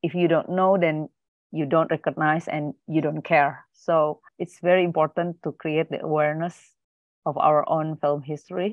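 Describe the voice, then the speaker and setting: A woman with a very deep, low voice speaks at a moderate pace in a flat monotone. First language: Indonesian. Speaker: film archivist. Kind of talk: panel presentation.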